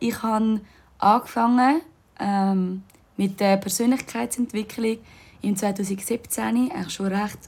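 A woman's somewhat breathy, medium-pitched voice, very slow in pace, with lively intonation. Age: 20s. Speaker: yoga teacher and podcast host. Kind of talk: casual monologue. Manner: animated.

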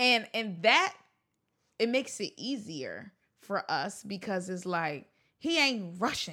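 A woman at medium pitch with a bright, sharp tone and very wide pitch swings, at a very slow pace, on a very clean recording with a silent background. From Baltimore, Maryland. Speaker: actress and film producing student. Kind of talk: casual chat.

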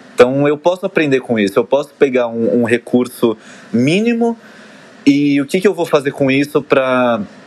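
Noticeable background noise runs through the clip. The voice has lively intonation. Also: man, fairly high pitch for a man, moderate pace. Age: 20s. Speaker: dancer and fitness trainer. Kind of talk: casual chat.

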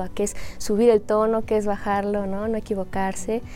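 This woman's voice has a dark, mellow tone. Her intonation stays flat and monotone. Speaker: Chinese language teacher. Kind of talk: interview explaining language teaching.

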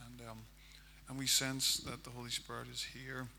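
The speech, in a Northern Irish accent, moves at a fairly quick pace. Room echo is audible. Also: man. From Northern Ireland, County Armagh. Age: 40s. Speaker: pastor. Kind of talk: sermon.

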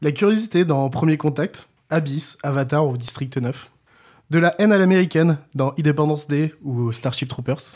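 A man at a fairly high pitch and moderate pace, with ordinary pitch variation. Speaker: podcast co-host. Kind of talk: scripted narration. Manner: crooner voice for intro.

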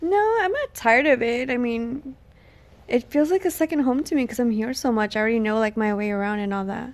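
A woman talks at a fairly quick pace in a high voice. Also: lively intonation. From Texas. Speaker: podcast guest, host's girlfriend. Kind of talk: casual chat. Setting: on vacation in Hawaii.

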